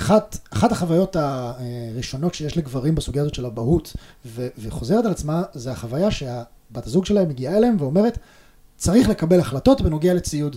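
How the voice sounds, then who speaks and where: Fairly quick and somewhat breathy, a man's fairly high voice has a dark, mellow tone and very wide pitch swings. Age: 30s. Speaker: father and tech worker. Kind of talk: interview conversation.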